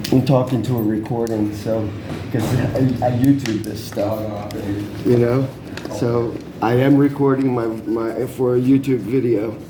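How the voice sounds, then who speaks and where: A man's medium-pitched, monotone, flat delivery at a fairly slow pace, with noticeable background noise and audible room echo. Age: 60s. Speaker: vlogger reporting a crime. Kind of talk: casual chat. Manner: repetitive, halting.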